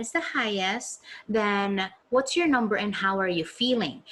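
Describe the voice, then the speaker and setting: This fairly high-pitched woman's voice sounds somewhat breathy. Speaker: life coach and meditation guide. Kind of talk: webinar talk reading audience responses. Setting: live video webinar. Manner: animated.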